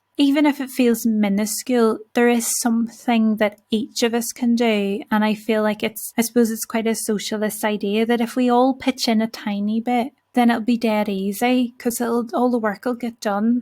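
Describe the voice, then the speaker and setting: Fairly high in pitch, a woman speaks in a monotone, flat delivery with a dark, mellow tone. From Northern Ireland (Belfast). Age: 30s. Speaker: podcast host. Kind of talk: solo reflective podcast monologue. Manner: slow, carefully enunciated.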